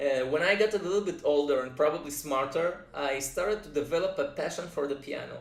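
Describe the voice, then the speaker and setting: Audible room echo surrounds a man with a Russian accent whose pitch varies in an ordinary way. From Israel, moved from Russia at age five. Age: 30s. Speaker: music producer and composer. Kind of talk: personal introduction vlog. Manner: hesitant, frequent uh fillers.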